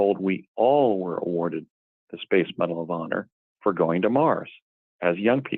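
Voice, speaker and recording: A man's fairly low voice at a moderate pace, an ordinary speaking voice. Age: 60s. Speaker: guest claiming past secret space program. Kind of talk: interview.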